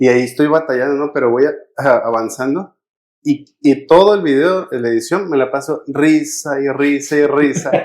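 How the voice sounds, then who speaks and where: Pitch rises and falls in an ordinary way. The speech moves at a moderate pace. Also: man, fairly high pitch for a man. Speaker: podcast co-host. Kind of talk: casual chat.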